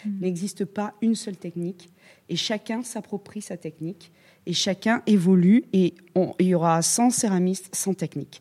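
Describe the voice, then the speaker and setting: On a very clean recording with a silent background, a woman speaks at a medium pitch in a somewhat breathy voice with a dark, mellow tone, the sound dry and close with no echo. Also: ordinary pitch variation, moderate pace. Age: 50s. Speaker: ceramicist. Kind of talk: casual chat.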